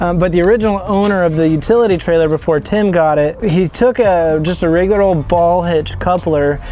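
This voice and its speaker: Over noticeable background noise, a man with a high pitch talks at a fairly quick pace with hardly any pauses, very even loudness and ordinary pitch variation. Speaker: DIY builder and welder. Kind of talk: casual walkaround tour.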